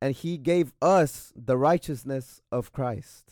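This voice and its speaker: The speaker has an American accent and talks at a very slow pace. The recording is very clean, with a silent background. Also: man, dry, close sound with no echo. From Texas, Waco. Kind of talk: testimony. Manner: soft-spoken.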